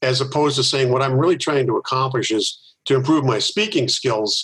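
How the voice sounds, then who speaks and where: A man speaks at a moderate pace in a somewhat breathy, medium-pitched voice. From US Midwest, Milwaukee, Wisconsin. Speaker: organizational consultant and author. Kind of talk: interview.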